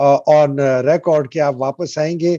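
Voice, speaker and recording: A man's dark, mellow tone with ordinary pitch variation, in a dry, close sound with no echo. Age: 60s. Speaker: talk show host. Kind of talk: interview conversation.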